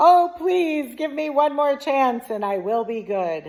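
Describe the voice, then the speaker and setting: A woman's put-on character voice, high-pitched and at a fairly slow pace. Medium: read story. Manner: simple, food-obsessed.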